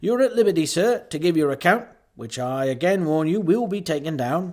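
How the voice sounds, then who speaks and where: A man puts on a robotic character voice, high in pitch with lively intonation, talking at a fairly quick pace in a very clean recording with a silent background. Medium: read story. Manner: dull, mechanical.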